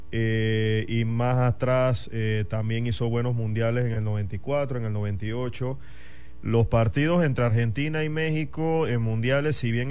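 Delivered at a fairly slow pace, an unremarkable speaking voice shows ordinary pitch variation. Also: man. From Panama, Chiriquí (David). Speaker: football fan club member. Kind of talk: casual radio chat. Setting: radio studio.

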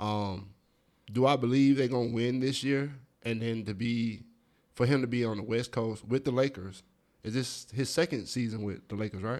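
A man with a normal speaking voice, medium pitch and an American accent speaks at a moderate pace with fairly even intonation, in a very clean recording with a silent background. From US South, Atlanta, Georgia. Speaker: podcast co-host. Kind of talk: casual chat.

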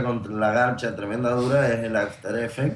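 The room echo is audible. A man talks at a fairly slow pace. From Argentina, Mendoza. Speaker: musician guest. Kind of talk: casual chat.

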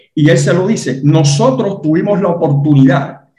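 A man with a Cuban accent speaks at a fairly slow pace in a fairly high pitch, his dark, mellow tone somewhat breathy against audible room echo. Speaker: Cuban exile guest. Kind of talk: interview.

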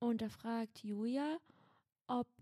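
Dark and mellow in tone, the voice belongs to a woman. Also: dry, close sound with no echo. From Berlin (Schöneberg). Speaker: podcast co-host. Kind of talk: casual chat with role-play.

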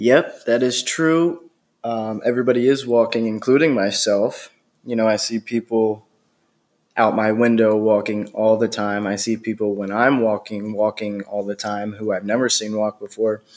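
Heard on a very clean recording with a silent background, a man has an unremarkable speaking voice of medium pitch, with fairly even intonation at a moderate pace. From Pennsylvania, near Doylestown. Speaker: podcast host. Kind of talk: interview.

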